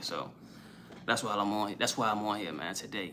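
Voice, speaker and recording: A man speaks at a very fast pace. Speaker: quit-weed motivational streamer. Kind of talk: live stream talk. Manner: casual, slangy.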